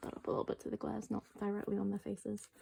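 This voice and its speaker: A soft-spoken woman talks at a very fast pace. Noticeable background noise sits behind her. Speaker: K-pop collector vlogger. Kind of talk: casual chat. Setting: home at night. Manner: hesitant, many fillers.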